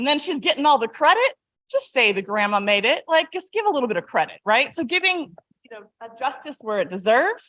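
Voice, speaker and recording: On a very clean recording, silent background, a woman with an American accent speaks at a high pitch with very wide pitch swings. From California. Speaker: historian and author. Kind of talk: lecture. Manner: loud.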